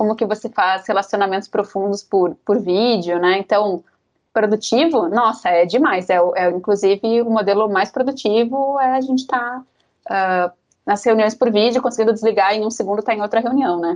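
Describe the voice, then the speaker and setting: A woman's ordinary speaking voice, fairly high in pitch, at a moderate pace with ordinary pitch variation. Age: 30s. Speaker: HR manager. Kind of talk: casual chat.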